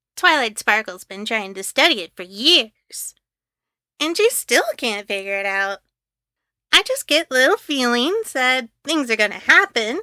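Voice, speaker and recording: Here a woman puts on a character voice with a high pitch. She goes at a moderate pace in a very clean recording with a silent background. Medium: read story. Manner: bubbly, energetic.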